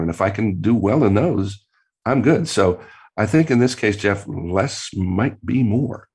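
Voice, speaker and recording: This man's voice sits fairly low in pitch. Behind him, the background stays quiet. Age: 60s. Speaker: creativity professor and author. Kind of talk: interview. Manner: hesitant, repeats words.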